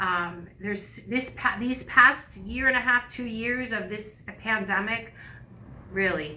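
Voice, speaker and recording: Noticeable background noise runs through the clip. The delivery is very slow. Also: woman. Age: 60s. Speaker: yoga instructor and podcast co-host. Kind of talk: casual chat.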